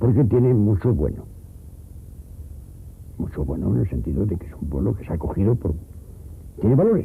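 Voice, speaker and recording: Moving at a fairly quick pace yet with long, frequent pauses, a man speaks in a fairly low pitch that takes very wide swings. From Teruel, Aragon, Spain. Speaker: rural villager. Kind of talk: interview answer.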